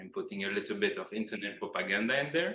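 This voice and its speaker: A man with a Greek accent and a bright, sharp tone, in audible room echo. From Greece. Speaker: PhD researcher. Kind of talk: lecture. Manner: hesitant with many fillers.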